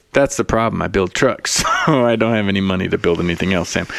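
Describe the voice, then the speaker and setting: A man speaks at a very fast pace in a resonant, fairly low voice. His loudness stays very even over noticeable background noise. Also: ordinary pitch variation. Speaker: podcast co-host. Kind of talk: casual, profane banter.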